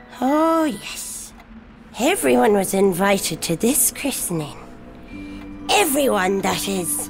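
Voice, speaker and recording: A cartoonish character voice that sounds female speaks at a very slow pace. Background noise is clearly audible. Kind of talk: read story.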